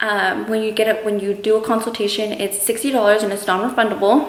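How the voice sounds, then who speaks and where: A woman with a West Coast accent talks very fast at a fairly high pitch. The recording carries noticeable background noise and audible room echo. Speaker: beauty vlogger. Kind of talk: casual vlog Q&A.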